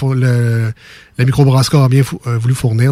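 Medium in pitch, a man's voice comes across somewhat breathy. He keeps a fairly quick pace. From Quebec City (Limoilou). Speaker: radio host. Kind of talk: casual radio chat.

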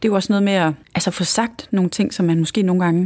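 A woman talks very fast at a medium pitch with ordinary pitch variation. The recording is very clean, with a silent background. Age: 40s. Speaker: entrepreneur. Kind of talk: interview. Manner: halting.

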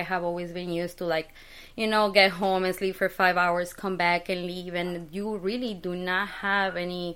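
In a Spanish accent, a woman talks at a moderate pace with medium pitch and fairly even intonation. Her tone is bright and sharp, on a very clean recording with a silent background. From Mexico City. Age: 30s. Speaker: skincare business owner. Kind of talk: interview.

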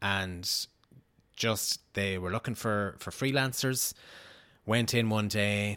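A man with a Sligo accent speaks very slowly at a fairly low pitch, his bright, sharp tone and fairly even intonation broken by long, frequent pauses in a very clean recording with a silent background. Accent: Irish, northwest (Sligo). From Sligo, Ireland. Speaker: TV news reporter. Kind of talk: casual interview chat.

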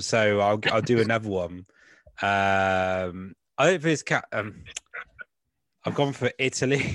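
In a West Country accent, a man speaks with lively intonation, the sound dry and close with no echo against a quiet background. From England, West Country. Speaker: comedian and podcast host. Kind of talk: casual chat.

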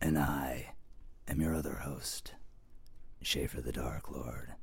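Putting on a character voice, a man speaks at a fairly slow pace with a very deep, low pitch and fairly even intonation. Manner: scary, menacing.

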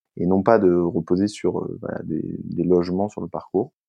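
A man talks at a fairly slow pace. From Brittany, France. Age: 30s. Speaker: eco-adventurer, endurance athlete. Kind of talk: interview. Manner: halting, many fillers and repetitions.

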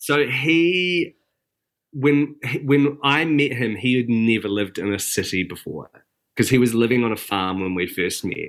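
In a very clean recording with a silent background, a man with a New Zealand accent speaks at medium pitch and moderate pace with lively intonation. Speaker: breakfast TV weather presenter. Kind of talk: casual chat.

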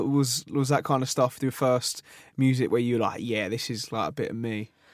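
A man uses an unremarkable speaking voice with medium pitch, keeping his intonation fairly even and his pace moderate. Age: 20s. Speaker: podcast host. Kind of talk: casual interview chat. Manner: casual, filler-heavy.

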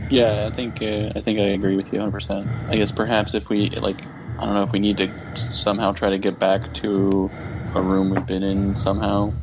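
A man speaks in a fairly low voice with fairly even intonation over music in the background. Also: moderate pace, very even loudness. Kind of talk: in-character roleplay at a tabletop game, casual banter. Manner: dry, sarcastic, wisecracking.

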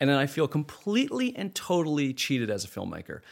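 Using a plain, everyday voice, a man speaks with lively intonation. The recording is very clean with a silent background. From Canada. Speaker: film director. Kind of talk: casual interview.

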